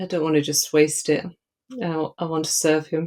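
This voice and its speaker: A woman with an Edinburgh accent. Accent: Scottish (Edinburgh). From Scotland, Edinburgh. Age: 50s. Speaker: charity walk fundraiser. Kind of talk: interview podcast. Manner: halting.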